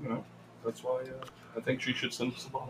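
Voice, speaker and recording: Against noticeable background noise, a man speaks at a medium pitch with fairly even intonation. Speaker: podcast co-host. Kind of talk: casual chat. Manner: joking, laughs often.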